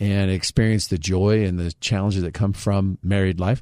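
Over a silent background on a very clean recording, a man with a normal speaking voice talks at a fairly low pitch with ordinary pitch variation. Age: 30s. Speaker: radio host. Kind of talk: casual chat. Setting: studio.

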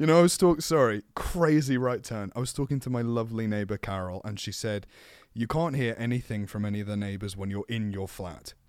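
This man talks with an unremarkable speaking voice at medium pitch, keeping a fairly quick pace and lively intonation on a very clean recording with a silent background. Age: 20s. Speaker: voice actor. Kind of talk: casual chat; mock carnival-barker routine, echoing the other speaker. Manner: exaggerated, gleeful, carnival-style showman bark.

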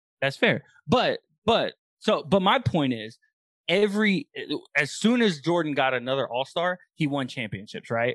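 In an American accent, a man speaks at a high pitch with very wide pitch swings and a moderate pace. He leaves long, frequent pauses, and the sound is dry and close with no echo against a quiet background. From Texas. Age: 20s. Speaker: sports podcast co-host. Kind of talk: casual chat.

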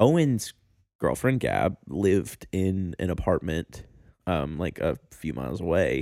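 Very deep and low, a man's voice moves at a fairly slow pace with vocal fry, a dark, mellow tone and very wide pitch swings. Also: dry, close sound with no echo. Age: 20s. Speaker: band member and podcast co-host. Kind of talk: casual chat. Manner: halting.

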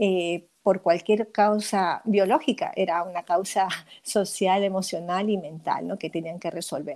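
The recording is very clean, with a silent background. A woman speaks at a medium pitch with ordinary pitch variation and a fairly slow pace. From Peru. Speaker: midwife and author. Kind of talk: interview. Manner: halting, with frequent repetitions.

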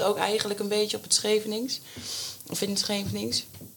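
Noticeable background noise sits under speech delivered fairly quickly. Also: woman. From Scheveningen, Netherlands. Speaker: primary school teacher and amateur actor. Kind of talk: casual chat.

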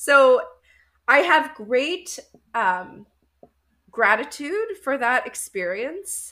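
With a Canadian accent, a woman uses a raised, projected, bright and sharp voice at high pitch, swinging very widely in pitch at a very slow pace with long, frequent pauses. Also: very clean recording, silent background. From Canada, Winnipeg. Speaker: life coach. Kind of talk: interview.

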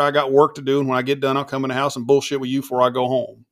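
A man talks with a Southern US accent at a fairly high pitch. His intonation is monotone and flat. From Florida, Eustis. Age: 40s. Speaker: industrial refrigeration contractor. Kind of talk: casual chat.

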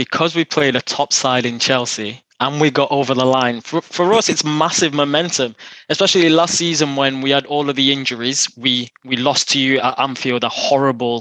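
A man speaks at a moderate pace in a bright, sharp tone with fairly even intonation, the sound dry and close with no echo. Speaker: football fan panelist. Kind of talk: casual football banter.

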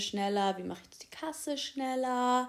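This woman's intonation is lively, and her pace stays moderate. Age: 20s. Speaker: university student and podcaster. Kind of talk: casual solo podcast monologue. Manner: casual, with filler words.

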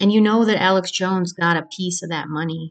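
Fairly even intonation marks this woman's speech. She goes at a moderate pace. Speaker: podcast host. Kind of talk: angry conspiracy rant, solo monologue. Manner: agitated, vehement, emphatic.

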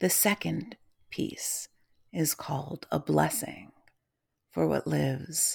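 A woman whispers at a very slow pace. Her tone is solemn. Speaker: poet and podcaster. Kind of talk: poetry reading, spoken word blessing. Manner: lyrical, solemn, measured cadence.

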